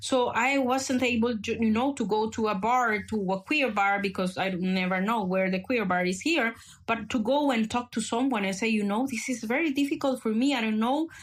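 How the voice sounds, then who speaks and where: Somewhat breathy speech with a Spanish accent comes at a moderate pace with hardly any pauses, very even loudness and ordinary pitch variation, on a very clean recording with a silent background. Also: woman, fairly high pitch for a woman. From El Salvador. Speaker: activist. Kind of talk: podcast conversation. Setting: podcast recording. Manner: halting with many fillers.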